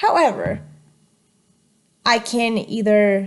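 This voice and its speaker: A woman with a Spanish accent, speaking at a very slow pace. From Colombia. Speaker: student. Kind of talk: class presentation. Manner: halting.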